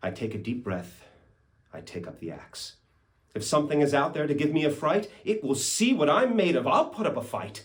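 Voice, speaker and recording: Vocal fry and very wide pitch swings in a man's fairly high voice, delivered at a moderate speed. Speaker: actor. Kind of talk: poetry reading. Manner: storytelling, expressive.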